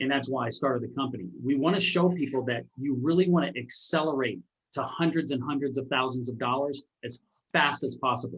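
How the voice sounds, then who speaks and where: A man speaks at a medium pitch with ordinary pitch variation and vocal fry. His pace is fairly quick. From Alaska. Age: 50s. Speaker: entrepreneur and author. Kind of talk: interview conversation.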